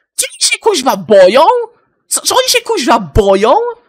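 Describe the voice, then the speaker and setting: A man speaks in a furious tone at a moderate pace, his intonation lively. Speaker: gaming YouTuber. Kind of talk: angry profanity-laden rant to camera. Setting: home recording, solo video. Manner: furious, swearing constantly, venting, stumbling over words.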